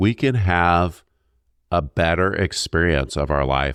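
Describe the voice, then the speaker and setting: A man speaks with vocal fry in a dry, close sound with no echo. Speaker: podcast co-host. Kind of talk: casual chat.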